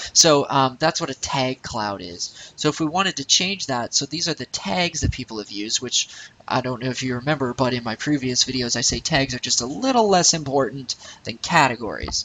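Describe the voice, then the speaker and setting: Here a man talks at a fairly quick pace. His voice sits at a medium pitch and varies in an ordinary way. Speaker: web design tutorial maker. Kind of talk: screen-recorded tutorial. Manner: fast; casual, hesitant with fillers.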